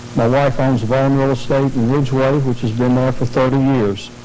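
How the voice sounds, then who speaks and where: A man speaks at a moderate pace. Audible room echo and noticeable background noise surround him. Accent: Virginia. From southern Virginia, US South. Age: 60s. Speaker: political candidate, county supervisor. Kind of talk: debate opening statement. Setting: TV studio debate.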